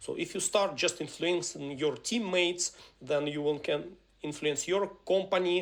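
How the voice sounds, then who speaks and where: The speaker has a Ukrainian accent. The pace is moderate. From Ukraine. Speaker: software engineering speaker and trainer. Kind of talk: live webinar presentation. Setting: live online webinar. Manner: halting, many fillers.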